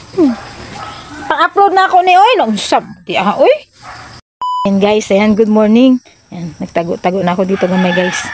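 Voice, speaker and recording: A woman speaks at a moderate pace with a fairly high pitch and very wide pitch swings. Her pauses are long and frequent. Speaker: comedy vlogger. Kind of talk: comedy skit vlog. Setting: indoors at home, hiding under a table. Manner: lowered voice.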